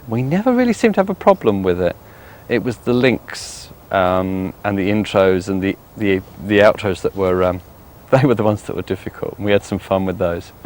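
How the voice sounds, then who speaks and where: Speaking at a fairly quick pace with a southern English accent, a man with a fairly low voice keeps his intonation fairly even. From West Sussex, England. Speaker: psychic medium. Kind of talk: interview answer.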